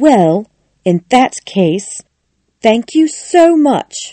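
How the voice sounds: Using a put-on character voice, a woman speaks at a very slow pace with a fairly high pitch, a dark, mellow tone and big pitch swings, the sound dry and close with no echo.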